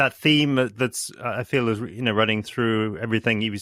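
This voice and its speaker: This man has an unremarkable speaking voice with a fairly low pitch. He speaks at a moderate pace with ordinary pitch variation. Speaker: podcast host. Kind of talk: podcast interview conversation.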